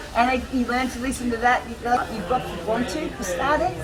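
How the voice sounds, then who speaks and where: In a strong Australian accent, a woman speaks fairly quickly at a high pitch with fairly even intonation. Audible room echo and noticeable background noise fill the recording. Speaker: homeless woman, artist. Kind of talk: interview.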